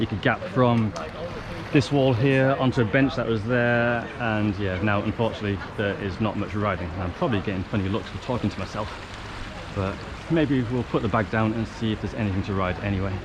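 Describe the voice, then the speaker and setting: Noticeable background noise sits behind this recording. The pace is fairly quick, with ordinary pitch variation. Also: man, fairly low pitch for a man. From Northern England. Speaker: trials bike rider. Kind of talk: casual vlog talk to camera.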